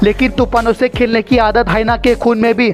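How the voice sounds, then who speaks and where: A man's high-pitched, flat, monotone delivery at a moderate pace, with music in the background. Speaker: voice-over artist. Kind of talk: comedic wildlife video narration.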